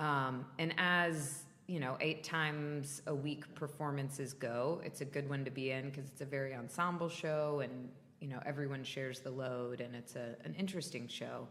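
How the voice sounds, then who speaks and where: Audible room echo surrounds a woman with an American accent who speaks at a moderate pace, her pitch very deep and low, her intonation fairly even. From US South, North Florida. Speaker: stage and TV actor. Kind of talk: interview. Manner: loud.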